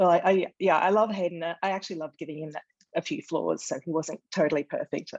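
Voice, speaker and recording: A woman with an Australian accent and a fairly low pitch speaks at a very fast pace, recorded with a dry, close sound with no echo. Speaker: author. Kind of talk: interview. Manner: hesitant, many fillers.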